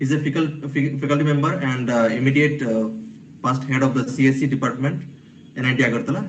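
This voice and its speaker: A man speaks quietly at a fairly high pitch and fairly quick pace, with fairly even intonation and audible room echo. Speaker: event moderator introducing speaker. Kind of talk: speaker introduction at online workshop. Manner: halting, many fillers; too quiet at first.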